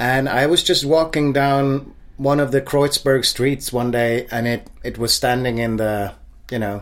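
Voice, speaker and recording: The speaker is a man with a Swedish accent. He talks at a moderate speed. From Sweden, Stockholm suburb. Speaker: singer-songwriter. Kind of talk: casual interview. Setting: at home.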